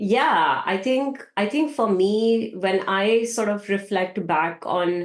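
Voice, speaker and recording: With a non-native accent, a woman speaks at a very slow pace with ordinary pitch variation. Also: medium pitch for a woman, very even loudness. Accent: foreign. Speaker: tech data leader. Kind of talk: podcast interview.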